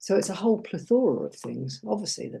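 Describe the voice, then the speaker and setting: A woman speaks with an English accent and a dark, mellow tone. Vocal fry runs through her voice. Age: 60s. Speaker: life coach and former nurse. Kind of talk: interview.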